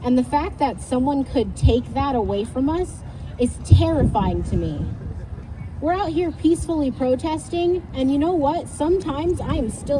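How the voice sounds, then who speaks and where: There is noticeable noise in the background. Over it, a woman talks at a medium speed. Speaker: youth speaker at rally. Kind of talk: speech to crowd.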